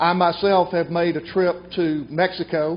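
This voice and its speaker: A man with an Alabama accent speaks at a fairly high pitch. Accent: Southern US (Alabama). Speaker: bar association president. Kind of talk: formal speech.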